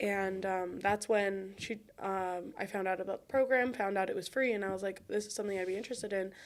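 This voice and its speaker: Fairly quick and with hardly any pauses, a woman speaks at a medium pitch with fairly even intonation. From Wisconsin, US. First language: Spanish. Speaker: college student, former tutor-mentor. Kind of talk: podcast interview. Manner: casual, many fillers.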